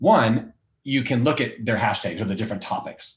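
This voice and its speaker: A man talks fairly quickly in a somewhat breathy voice, his intonation fairly even. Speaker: recruiter. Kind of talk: tutorial. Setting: livestream with screen share. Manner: fast.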